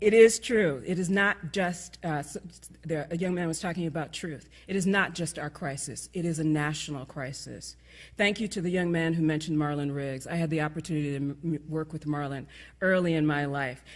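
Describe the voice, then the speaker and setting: A woman with a very deep, low pitch at a fairly quick pace. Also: ordinary pitch variation, very clean recording, silent background. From New York. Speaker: conference speaker. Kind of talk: closing speech. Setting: stage with audience. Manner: fast.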